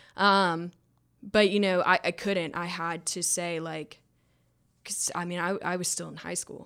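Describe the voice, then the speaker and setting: A woman with a Southern US accent speaks at a fairly slow pace in a fairly low, bright, sharp voice, her intonation monotone and flat, on a very clean recording with a silent background. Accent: Southern US (Georgia). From North Georgia, US South. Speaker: person in addiction recovery. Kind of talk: casual chat. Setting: studio.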